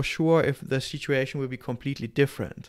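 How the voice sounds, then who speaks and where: Speaking with a German accent, a man uses a fairly high pitch and fairly even intonation. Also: quiet background. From Germany. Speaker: podcast guest or host. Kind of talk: casual interview. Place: home room. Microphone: studio mic.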